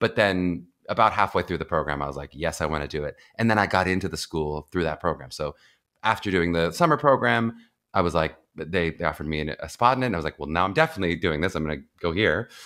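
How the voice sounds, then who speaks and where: Very fast and with lively intonation, a man with an American accent talks in a very deep, low voice with a bright, sharp tone, on a very clean recording with a silent background. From US, Pittsburgh, Pennsylvania. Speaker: acting coach and actor. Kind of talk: casual interview. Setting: podcast.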